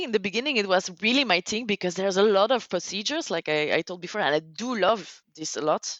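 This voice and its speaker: A woman speaks with a Flemish accent at a moderate pace. Her intonation is lively. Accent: Belgian (Flemish) accent in English. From Belgium. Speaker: technical cave diver. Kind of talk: podcast interview. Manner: halting, searches for words; animated.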